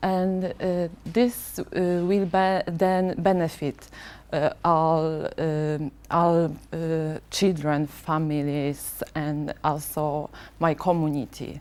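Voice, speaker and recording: A woman speaks very slowly in a fairly low voice. Her intonation stays fairly even. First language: not English. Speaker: parent representative. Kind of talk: prepared speech. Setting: board meeting. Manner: halting, many fillers.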